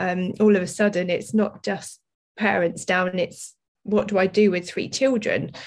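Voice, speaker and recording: A woman speaks at a moderate pace with an English accent. Her pitch is medium and her intonation fairly even. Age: 40s. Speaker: business owner and athlete. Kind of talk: interview.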